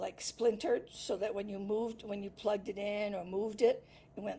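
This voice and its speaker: A woman's medium-pitched voice. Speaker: crafting livestream host. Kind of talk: live craft tutorial chat. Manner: soft-spoken. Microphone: laptop mic, hard to hear.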